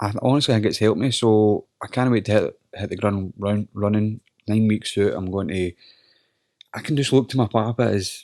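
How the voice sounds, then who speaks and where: A man with a Scottish accent speaks at a moderate pace in a fairly low voice, his intonation fairly even and the sound dry and close with no echo. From Scotland, Holytown (North Lanarkshire). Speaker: MMA fighter. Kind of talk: casual chat.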